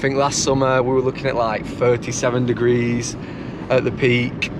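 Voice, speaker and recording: Amid noticeable background noise and audible room echo, a man speaks at medium pitch and a moderate pace. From England. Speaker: travel vlogger. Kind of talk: travel vlog narration. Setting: in a car, then outdoors in a desert. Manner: casual, lots of fillers.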